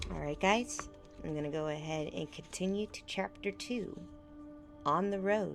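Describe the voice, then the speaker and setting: A woman's medium-pitched voice with very wide pitch swings and long, frequent pauses, music in the background. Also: moderate pace. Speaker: vtuber. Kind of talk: casual talk to stream chat.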